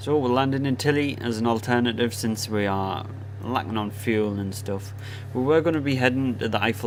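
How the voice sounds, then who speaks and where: A man with a northeast English accent speaks at a moderate pace, his fairly low pitch held in fairly even intonation. Audible room echo surrounds his voice. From northern England, Sunderland area. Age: 20s. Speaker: gaming streamer. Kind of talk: live stream commentary. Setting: live stream. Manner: casual.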